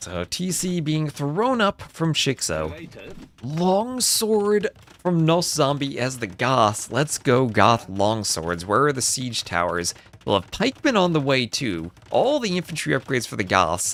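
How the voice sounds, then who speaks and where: A man speaks with a New Jersey accent at a fairly high pitch. His pitch swings very widely. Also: fairly slow pace. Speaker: game commentator. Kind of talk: live game commentary. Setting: livestream. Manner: stammering repetitions.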